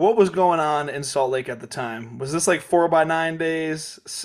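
On a very clean recording with a silent background, a man with an American accent speaks in a fairly high voice. He goes very slowly, with ordinary pitch variation. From Kansas. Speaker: podcast host. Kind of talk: reading listener questions; casual interview chat.

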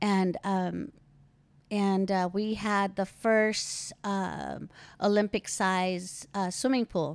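On a very clean recording with a silent background, a woman at medium pitch speaks very slowly. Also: fairly even intonation. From Philippines. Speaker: host's mother. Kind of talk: casual interview.

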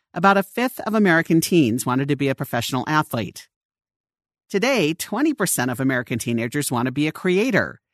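The pace is fairly quick. The background is quiet. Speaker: audio article narrator. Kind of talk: reading aloud.

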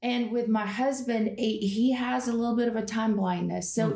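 Noticeable background noise sits behind a woman's voice. She speaks at a moderate pace in a fairly high pitch. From Russia. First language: Russian. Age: 40s. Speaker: yoga and Enneagram teacher. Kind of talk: casual chat. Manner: loud; animated.

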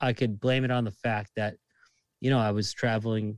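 Fairly low-pitched man at a moderate pace with monotone, flat intonation, in a dry, close sound with no echo and a very clean recording with a silent background. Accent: Boston. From Massachusetts, Lynn (Boston area). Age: 30s. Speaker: bartender. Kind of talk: casual chat.

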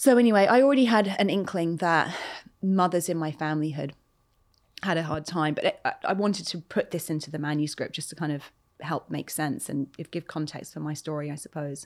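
A woman talks at a fairly quick pace with lively intonation and a fairly low pitch. The recording is very clean, with a silent background. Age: 40s. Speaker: author. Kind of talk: interview conversation. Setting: studio.

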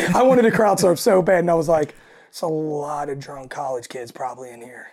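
A woman with a raspy, low voice and a slightly mellow tone speaks at a moderate pace.

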